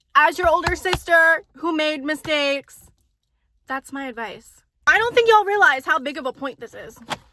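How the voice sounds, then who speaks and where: A raised, projected voice with a bright, sharp tone comes at a moderate pace, with lively intonation and big swings in loudness. The sound is dry and close with no echo. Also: woman, high pitch for a woman. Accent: Southern Californian. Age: 20s. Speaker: lifestyle vlogger. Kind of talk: casual advice monologue to camera. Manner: rambling, lots of filler words; casual, chatty.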